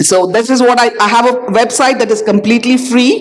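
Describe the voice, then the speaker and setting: A high-pitched female voice, its pitch varying in an ordinary way. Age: 60s. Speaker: doctor, panelist. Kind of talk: panel discussion.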